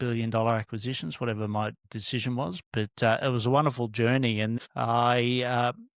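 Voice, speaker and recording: With an Australian accent, a man speaks in a dry, close sound with no echo on a very clean recording with a silent background. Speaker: business mentor and former corporate director. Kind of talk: podcast interview. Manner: hesitant, many fillers.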